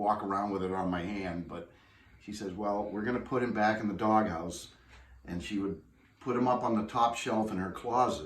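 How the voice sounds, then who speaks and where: Audible room echo surrounds a man's voice. His pitch is fairly low, with ordinary variation. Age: 60s. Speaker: family heirloom owner. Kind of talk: interview. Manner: halting.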